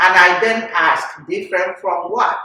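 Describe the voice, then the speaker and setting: There is audible room echo as a woman with a Nigerian accent speaks at a moderate pace. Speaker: podcast host. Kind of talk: casual chat.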